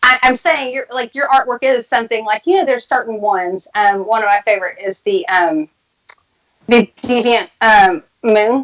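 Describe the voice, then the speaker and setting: With a Texas accent and lively intonation, a woman speaks at a moderate pace in a fairly high voice, the sound dry and close with no echo. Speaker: tarot reader and occult practitioner. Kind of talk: casual chat.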